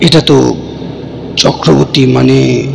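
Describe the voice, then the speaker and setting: A man uses a soft-spoken, put-on character voice over loud background noise. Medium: read story. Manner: soft, evasive, leaves sentences unfinished.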